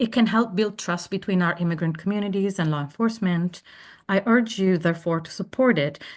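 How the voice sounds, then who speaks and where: Against a quiet background, a woman with a non-native accent speaks at a fairly low pitch with ordinary pitch variation. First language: not English. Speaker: language professor giving public testimony. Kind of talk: public hearing testimony. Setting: remote testimony, not in person. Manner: formal, prepared statement.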